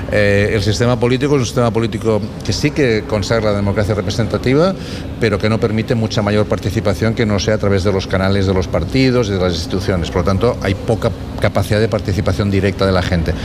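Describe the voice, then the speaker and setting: Speaking very fast, a man uses a fairly low pitch with ordinary pitch variation and very even loudness. Noticeable background noise and audible room echo are present. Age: 60s. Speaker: political science professor. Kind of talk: radio interview. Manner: halting, with frequent repetitions.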